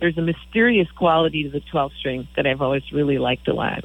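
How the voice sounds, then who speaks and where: A woman's very deep, low voice with vocal fry at a very fast pace. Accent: American. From Michigan. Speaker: singer-songwriter. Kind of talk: radio interview.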